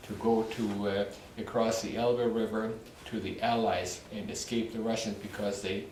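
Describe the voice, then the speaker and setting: With audible room echo and noticeable background noise, a man speaks at a moderate pace and medium pitch in a monotone, flat intonation. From Poland. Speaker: war survivor. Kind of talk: testimony. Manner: halting.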